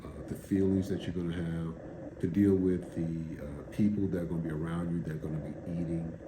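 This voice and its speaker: Fairly quick speech from a man, with audible room echo. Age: 60s. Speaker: video blogger documenting a fast. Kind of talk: casual monologue vlog. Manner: casual, halting with fillers.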